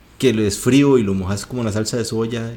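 With a Costa Rican accent, a man speaks at a moderate pace. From Costa Rica, Guanacaste. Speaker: podcast co-host. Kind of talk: casual chat.

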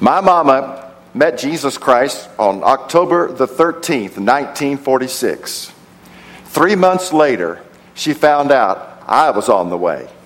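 Talking at a very slow pace, a man with an American accent uses lively intonation and a fairly high pitch. Noticeable background noise is present. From Texas, Odessa. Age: 60s. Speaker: preacher and theology professor. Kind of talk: sermon. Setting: church service with congregation.

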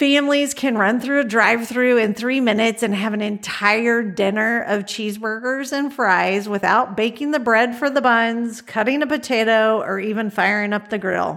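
At a moderate pace with hardly any pauses, a woman talks in an ordinary speaking voice, fairly high-pitched, with fairly even intonation. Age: 50s. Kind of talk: devotional monologue.

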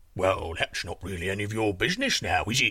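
Putting on a character voice, a man talks at a fairly quick pace in a low pitch with a bright, sharp tone and big pitch swings.

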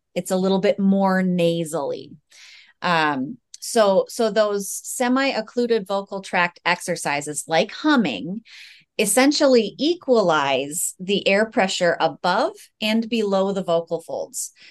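An unremarkable speaking voice, a woman with an American accent talks at a fairly slow pace and medium pitch, with lively intonation and a quiet background. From United States. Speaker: speech-language pathologist. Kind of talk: interview.

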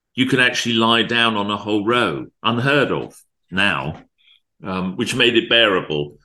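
Over a quiet background, a man with a medium pitch and a bright, sharp tone speaks at a moderate pace, with lively intonation and vocal fry. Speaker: music and film executive. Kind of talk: casual interview chat. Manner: halting.

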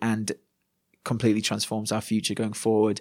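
A man with a Yorkshire accent on a very clean recording with a silent background. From Yorkshire, northern England. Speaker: pastor. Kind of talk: casual interview.

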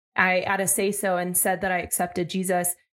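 An unremarkable speaking voice from a woman at medium pitch and a fairly quick pace, on a very clean recording with a silent background. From Arizona, US. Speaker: podcast co-host, former church teacher. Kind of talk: casual spiritual conversation.

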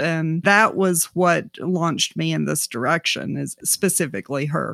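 With an American accent and a normal speaking voice, a woman speaks at a fairly slow pace in a fairly low pitch with ordinary pitch variation, the sound dry and close with no echo in a very clean recording over a silent background. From US South, South Georgia. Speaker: artist and arts organization director. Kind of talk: interview conversation.

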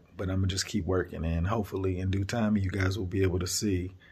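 Somewhat breathy speech rushes by at a very fast pace in a monotone, flat intonation. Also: man. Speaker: podcaster. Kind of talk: motivational monologue. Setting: on a work break. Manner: monotone, self-described; reflective, motivational.

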